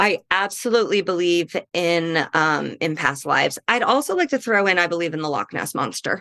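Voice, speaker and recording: In an American accent, a woman speaks at a moderate pace with hardly any pauses and lively intonation. Her tone is bright and sharp, her pitch fairly low. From US Midwest. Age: 30s. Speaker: comedian. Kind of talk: casual chat.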